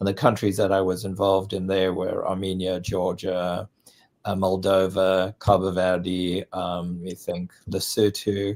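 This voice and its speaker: Someone with a South African accent speaks in a monotone, flat way at a fairly slow pace, in a very clean recording with a silent background. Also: man, very deep, low pitch for a man. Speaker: international development consultant. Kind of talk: interview.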